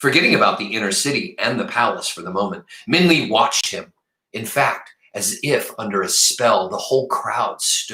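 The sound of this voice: Over a quiet background, the clip carries an unforced reading voice.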